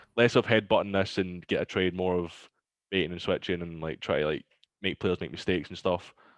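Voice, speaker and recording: With a Glaswegian accent, a man talks fairly quickly at a very deep, low pitch and fairly even intonation, recorded dry and close with no echo against a quiet background. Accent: Glaswegian Scottish. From Scotland, Glasgow. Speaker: pro esports player. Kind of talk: casual chat. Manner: not a loud person.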